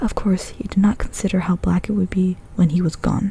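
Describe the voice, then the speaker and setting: A soft-spoken voice moves at a moderate pace over noticeable background noise. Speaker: ASMR creator. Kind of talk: ASMR book reading.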